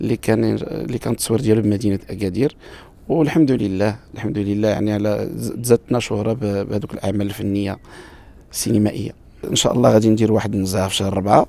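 A man speaks in a plain, everyday voice with fairly even intonation. The sound is dry, with no echo. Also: fairly low pitch for a man, fairly quick pace. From Morocco, Marrakech; Morocco. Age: 40s. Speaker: wedding musician and bandleader. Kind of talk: interview. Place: garden. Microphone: handheld.

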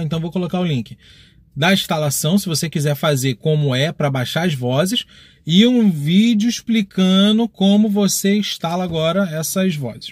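A man talks at a moderate pace in a high pitch with ordinary pitch variation. The sound is dry with no echo, over a quiet background. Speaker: gaming youtuber. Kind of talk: casual vlog chat. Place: car. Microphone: phone near.

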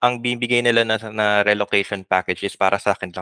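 Against a quiet background, a man with a bright, sharp tone speaks at a fairly quick pace, the sound dry with no echo. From Philippines. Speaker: software engineer; podcast guest. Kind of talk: interview. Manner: halting. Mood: relaxed, smiling, amused. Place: home room. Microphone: headset.

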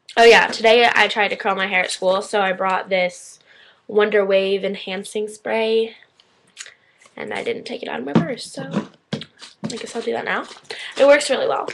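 A woman's voice rises and falls in an ordinary way as she keeps a moderate pace, with noticeable background noise around her. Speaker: vlogger. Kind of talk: casual vlog chat. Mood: playful, chatty. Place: home room. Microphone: webcam.

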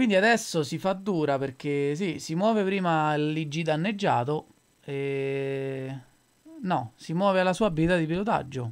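A plain, everyday voice from a man, fairly high in pitch, fairly slow, with ordinary pitch variation. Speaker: esports commentator. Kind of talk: live esports match commentary, describing the board and moves.

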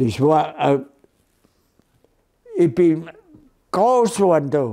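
Over a quiet background, a man with a fairly high pitch and a dark, mellow tone talks at a very slow pace with very wide pitch swings. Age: 80s+. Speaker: elderly storyteller recalling childhood. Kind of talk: casual reminiscence, oral history interview. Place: home room.

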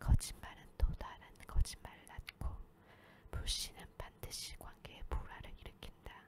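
Someone is whispering. The words come fairly slowly. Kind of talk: sleep reading of a self-help book. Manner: whispered.

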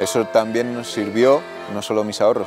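Clear music plays in the background as a man speaks at a moderate pace. His intonation is fairly even, and the sound is dry with no echo. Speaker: rural community project member, baker. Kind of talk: interview answer. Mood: reflective, candid. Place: open country. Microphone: lapel.

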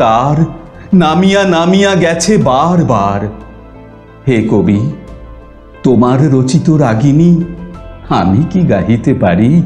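Faint music plays in the background as a man speaks with lively intonation. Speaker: poetry reciter. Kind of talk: poetry reading. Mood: expressive, emotive, dramatic.

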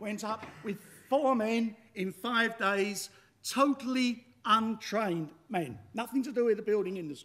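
A man at a fairly slow pace, high in pitch with ordinary pitch variation. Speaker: machinery designer and inventor. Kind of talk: pitch talk. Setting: stage with audience. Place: hall.

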